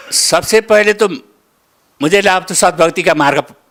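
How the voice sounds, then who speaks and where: A man's voice has a bright, sharp tone with vocal fry. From Nepal. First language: Nepali (speaking Hindi). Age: 70s. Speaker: devotee giving testimony. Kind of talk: interview testimony. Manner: halting.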